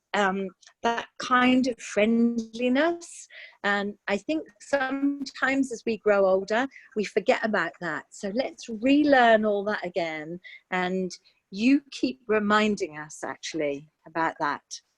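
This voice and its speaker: With music in the background and a dry, close sound with no echo, a woman speaks very slowly at a fairly high pitch, her voice making very wide pitch swings. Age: 60s. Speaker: former politician. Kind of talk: online discussion. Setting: video call.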